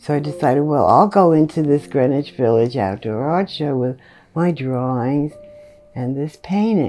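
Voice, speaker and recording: A woman's very deep, low voice, with faint music in the background. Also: moderate pace. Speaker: interviewee. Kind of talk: interview answer. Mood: warm, amused. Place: home room.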